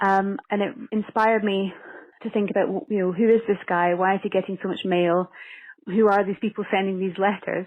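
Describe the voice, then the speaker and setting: A woman talks in a Scottish accent. Her intonation stays fairly even. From Scotland. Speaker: actress and screenwriter. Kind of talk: interview. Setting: phone call.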